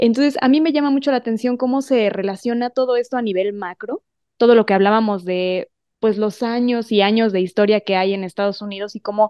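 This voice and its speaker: In a normal speaking voice, the speaker talks at a fairly quick pace with ordinary pitch variation. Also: woman, fairly high pitch for a woman. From Mexico. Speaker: broadcaster and voice actress. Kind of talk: interview. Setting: video call.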